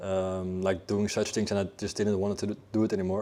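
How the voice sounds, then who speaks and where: Fairly quick speech in a Dutch accent, dark and mellow in tone, against a quiet background. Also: man. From Netherlands, Amsterdam. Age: 20s. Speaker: fitness coach. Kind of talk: interview. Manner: halting, many fillers and repeats.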